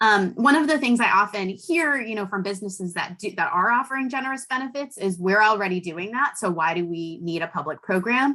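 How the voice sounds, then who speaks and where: In an American accent, the speaker goes at a fairly quick pace with hardly any pauses and a bright, sharp tone. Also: woman, medium pitch for a woman. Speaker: policy expert. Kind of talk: webinar presentation. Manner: fast.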